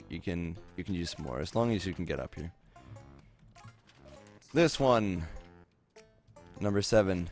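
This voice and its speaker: Over music in the background, a man mumbles. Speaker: game tutorial maker. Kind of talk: gameplay tutorial narration. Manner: mumbling, hesitant; flat, unenthusiastic.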